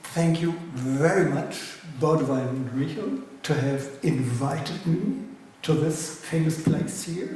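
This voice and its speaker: Very slow speech from a man with a German accent, ordinary pitch variation, audible room echo and noticeable background noise. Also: fairly high pitch for a man. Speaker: philosopher lecturer. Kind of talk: lecture.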